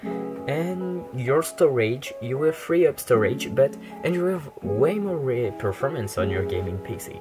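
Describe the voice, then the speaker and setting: The speaker has a French accent. Music plays clearly in the background. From France. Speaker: gaming tech tutorial creator. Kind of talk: screen-recorded tech tutorial.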